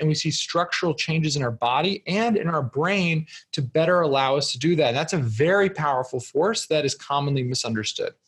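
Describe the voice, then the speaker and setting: In a plain, everyday voice with an American accent, a man speaks at a fairly quick pace with a fairly high pitch and ordinary pitch variation. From US Northeast (New Jersey). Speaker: entrepreneur and author. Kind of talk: podcast interview.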